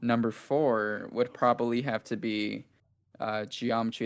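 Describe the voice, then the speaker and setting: A man at medium pitch and a fairly slow pace, on a very clean recording with a silent background. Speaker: YouTube documentary creator. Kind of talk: casual chat. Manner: monotone.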